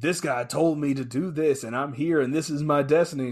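Putting on a character voice, a man speaks fairly quickly at a fairly high pitch. His intonation stays fairly even. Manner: fervent.

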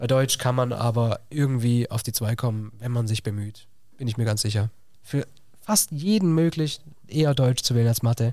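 Over a very clean, silent background, a man talks at a medium pitch and moderate pace, his dark, mellow tone showing ordinary pitch variation. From southwest Germany, Villingen (Baden-Württemberg). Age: 20s. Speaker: teacher. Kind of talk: casual interview.

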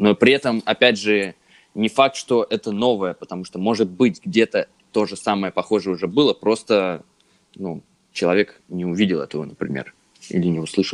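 The sound is dry and close, with no echo. A man talks in a normal speaking voice. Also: fairly low pitch for a man, ordinary pitch variation, moderate pace. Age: 20s. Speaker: podcast co-host, media graduate. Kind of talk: casual chat.

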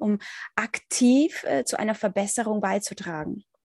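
A woman at a fairly slow pace, with ordinary pitch variation, a dry, close sound with no echo, and a quiet background. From Ukraine. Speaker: podcast host. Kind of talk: interview.

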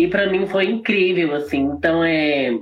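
This woman's voice sits very deep and low, with ordinary pitch variation. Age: 20s. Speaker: drag queen and singer. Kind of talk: live interview.

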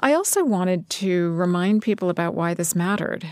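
In a very clean recording with a silent background, a woman with an unremarkable speaking voice talks at a moderate pace, her fairly low pitch showing ordinary variation. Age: 50s. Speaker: magazine editor and author. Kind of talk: interview. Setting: studio.

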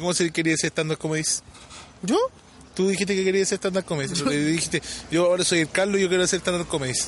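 A man with a Chilean accent speaks at a very fast pace and a high pitch, with fairly even intonation and very even loudness, broken by long, frequent pauses. Noticeable background noise is present. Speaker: podcast co-host. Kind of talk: casual chat.

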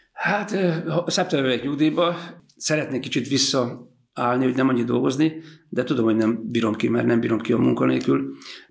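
Fairly quick speech with ordinary pitch variation, very even loudness and audible room echo. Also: man, medium pitch for a man. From Hungary, Zala county (Kiskanizsa). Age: 60s. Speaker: ice cream shop owner and former football coach. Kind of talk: casual interview.

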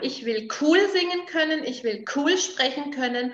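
Her intonation is lively as this woman speaks. She keeps a moderate pace. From Franconia, Nuremberg (Germany). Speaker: vocal coach. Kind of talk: interview. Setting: her studio.

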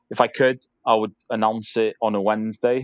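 The sound is dry and close with no echo as a man speaks at medium pitch in a monotone, flat way. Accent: North Welsh. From North Wales, Caernarfon. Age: 30s. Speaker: rugby director and player. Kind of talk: casual interview.

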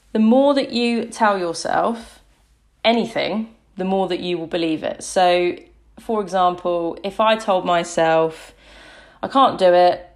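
Over a silent background in a very clean recording, a woman with an ordinary speaking voice talks fairly slowly at a medium pitch with ordinary pitch variation. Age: 30s. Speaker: fitness and body confidence coach, podcast host. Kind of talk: solo podcast talk. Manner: conversational with frequent fillers.

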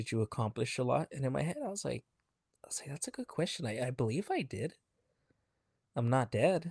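In a very clean recording with a silent background, a man speaks at medium pitch, somewhat breathy and with lively intonation. His pace is fairly quick, broken by long, frequent pauses. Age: 30s. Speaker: podcast co-host. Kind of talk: casual chat.

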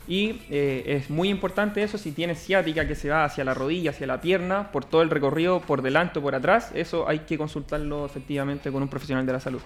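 Background noise is noticeable as a man talks very fast. His pitch is fairly high. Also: ordinary pitch variation, hardly any pauses. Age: 20s. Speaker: physiotherapist. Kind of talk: casual interview.

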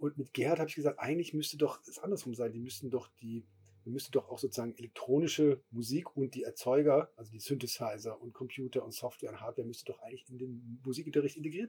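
Very fast and somewhat breathy, this voice has a dark, mellow tone, ordinary pitch variation and big swings in loudness. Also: man. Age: middle-aged. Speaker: music festival co-founder. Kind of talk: casual chat. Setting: festival stage.

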